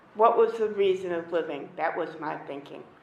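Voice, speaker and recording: A woman speaks at a moderate pace with a medium pitch. The room echo is audible, and background noise is noticeable. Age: 60s. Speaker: activist. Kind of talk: public hearing testimony.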